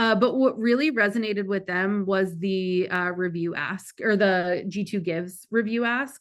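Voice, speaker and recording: In a normal speaking voice, a woman talks at a moderate pace and medium pitch with fairly even intonation against a quiet background. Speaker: marketing director presenting a webinar. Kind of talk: webinar presentation with Q&A.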